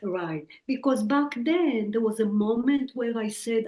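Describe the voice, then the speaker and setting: In a strong Israeli accent, a woman talks at a moderate pace with a medium pitch. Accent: Israeli, heavy. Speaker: psychic medium and author. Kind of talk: interview.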